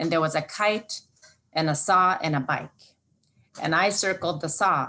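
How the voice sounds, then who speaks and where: A woman with an Alaskan accent, a bright, sharp tone, fairly low pitch and ordinary pitch variation. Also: moderate pace, quiet background. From southwest Alaska (Bethel). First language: Yup'ik. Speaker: Alaska Native corporation leader. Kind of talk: presentation. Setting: video call. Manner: halting, many fillers.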